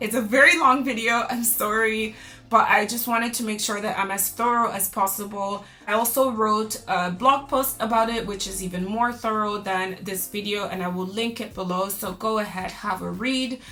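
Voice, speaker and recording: Amid noticeable background noise and audible room echo, a woman talks at a moderate pace with fairly even intonation. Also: fairly high pitch for a woman. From Canada. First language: French. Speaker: lifestyle vlogger. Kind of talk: vlog monologue to camera. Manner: casual, chatty.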